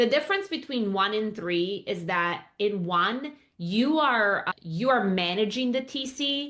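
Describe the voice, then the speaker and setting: Speaking fairly slowly, a woman sounds animated, with lively intonation. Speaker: real estate coach. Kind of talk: educational vlog.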